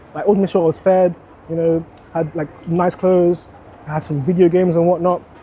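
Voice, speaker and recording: A man with a high pitch speaks at a moderate pace against noticeable background noise. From Jamaica, then Sutton, London from age nine. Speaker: interviewee sharing life story. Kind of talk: casual interview. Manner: hesitant, many fillers.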